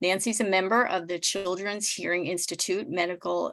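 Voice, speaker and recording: At a moderate pace, a woman speaks at medium pitch with ordinary pitch variation over a quiet background. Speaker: nonprofit executive director. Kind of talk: speaker introduction. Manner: measured.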